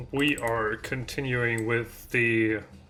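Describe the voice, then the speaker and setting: Noticeable background noise fills the recording. The speaking pace is very slow. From Germany. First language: German. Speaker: indie game developer streaming. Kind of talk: live stream dev chat. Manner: halting, hesitant.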